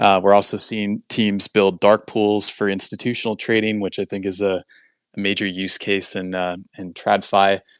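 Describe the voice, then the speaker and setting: In a dry, close sound with no echo and a quiet background, a man speaks at a fairly low pitch with monotone, flat intonation. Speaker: blockchain company representative. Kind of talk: interview answer. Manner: fast; halting, many fillers.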